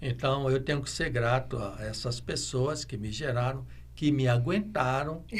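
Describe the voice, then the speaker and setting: A man speaking at a fairly slow pace, with audible echo in the room. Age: 70s. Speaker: veterinarian. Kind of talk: interview. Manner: halting, with many fillers; reflective.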